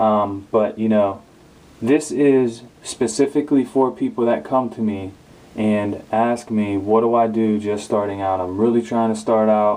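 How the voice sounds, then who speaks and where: A man with a dark, mellow tone and fairly low pitch speaks at a moderate pace, his intonation fairly even. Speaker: hair care youtuber. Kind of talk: tutorial. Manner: hesitant, many fillers.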